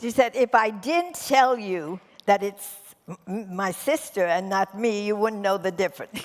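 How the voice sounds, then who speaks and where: A woman at medium pitch with lively intonation and a moderate pace, over noticeable background noise. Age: 90s. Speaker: wellness resort co-founder. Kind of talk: on-stage interview.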